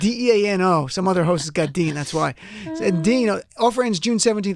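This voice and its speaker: A man with a New Jersey accent, lively intonation and a fairly quick pace. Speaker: radio host. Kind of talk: live radio show with ad read. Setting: studio.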